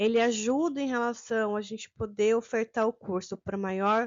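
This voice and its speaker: This woman's voice sits fairly high in pitch. She talks at a moderate pace. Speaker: teacher trainer. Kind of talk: online course lecture. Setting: recorded video with sign interpreter.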